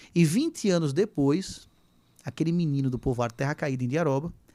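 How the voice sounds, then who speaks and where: In a very clean recording with a silent background, a man speaks in an animated tone. His pitch is fairly high, with ordinary variation, at a moderate pace. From Brazil, Sergipe. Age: 40s. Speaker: teacher and political candidate. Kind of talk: podcast interview. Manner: animated storytelling.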